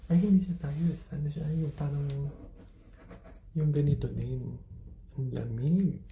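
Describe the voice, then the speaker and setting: A woman with a very deep, low pitch and a dark, mellow, somewhat breathy tone speaks at a fairly slow pace, with audible room echo. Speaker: travel vlogger. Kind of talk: casual vlog walkthrough. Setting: hotel room. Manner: soft-spoken; animated.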